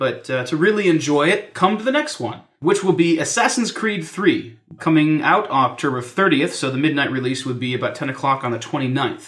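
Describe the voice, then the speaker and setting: A man's plain, everyday voice, fairly high in pitch, with lively intonation and a fairly quick pace. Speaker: podcast host. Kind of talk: casual chat.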